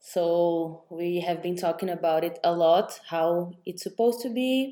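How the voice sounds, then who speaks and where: A woman with a dark, mellow tone, in a Portuguese accent. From Brazil. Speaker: podcast host, entrepreneur. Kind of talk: casual interview. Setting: remote recording with two guests.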